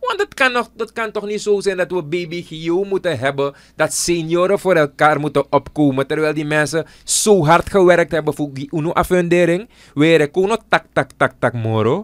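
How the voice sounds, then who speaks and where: A high-pitched man at a moderate pace, with ordinary pitch variation, in a dry, close sound with no echo. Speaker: politician and radio/tv presenter. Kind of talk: casual studio interview about current affairs. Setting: studio.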